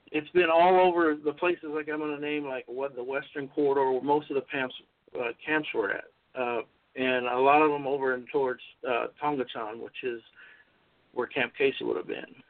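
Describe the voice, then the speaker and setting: Moderately paced speech in a normal speaking voice, with an American accent. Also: man, fairly high pitch for a man. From US West Coast (North Hollywood, California). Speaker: army veteran and author. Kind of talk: interview.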